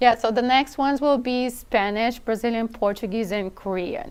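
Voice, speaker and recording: In a very clean recording with a silent background, a woman with a non-native accent speaks at a moderate pace with ordinary pitch variation. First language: not English. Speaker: product team member. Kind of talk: casual chat.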